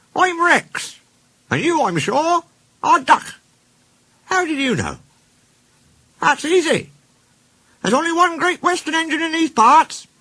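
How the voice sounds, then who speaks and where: Putting on a character voice at an extremely high pitch, a man speaks at a moderate pace with long, frequent pauses. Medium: machinima. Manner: friendly.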